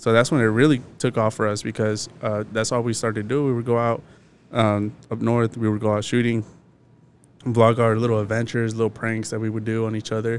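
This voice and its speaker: Monotone, flat intonation with an American accent, on a very clean recording with a silent background. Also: man, medium pitch for a man, fairly quick pace. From Arizona, Phoenix area. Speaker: podcast host. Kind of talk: casual chat.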